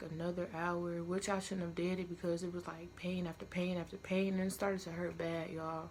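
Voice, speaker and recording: A woman speaks quietly at a fairly quick pace. Her medium-pitched voice stays monotone and flat. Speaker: vlogger. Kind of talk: storytime vlog. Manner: casual, filler-heavy.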